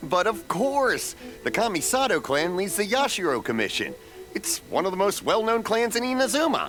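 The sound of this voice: In a put-on character voice with big pitch swings and a fairly bright tone, the speaker goes at a fairly slow pace while faint music plays in the background. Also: man.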